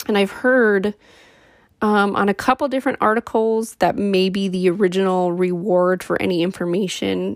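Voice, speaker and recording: A woman's ordinary speaking voice at medium pitch, with ordinary pitch variation and a moderate pace, in a dry, close sound with no echo on a very clean recording with a silent background. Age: 30s. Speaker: true crime podcaster. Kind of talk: casual true crime narration. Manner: casual, filler-heavy.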